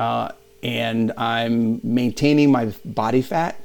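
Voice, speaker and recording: This is a plain, everyday voice with fairly even intonation. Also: man. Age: 50s. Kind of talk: interview chat.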